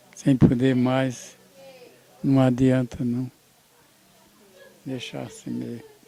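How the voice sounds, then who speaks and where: Noticeable background noise can be heard. Over it, a man talks at a very slow pace. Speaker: family patriarch, grandfather. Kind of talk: interview answer. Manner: hesitant, halting.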